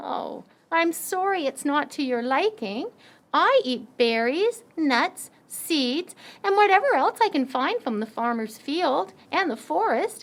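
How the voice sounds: Putting on a character voice, a woman speaks fairly slowly at a high pitch with very wide pitch swings.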